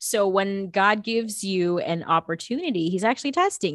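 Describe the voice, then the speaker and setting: A woman in a normal speaking voice talks at a medium pitch and a moderate pace with ordinary pitch variation, in a very clean recording with a silent background. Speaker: actress and producer. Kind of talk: casual interview chat.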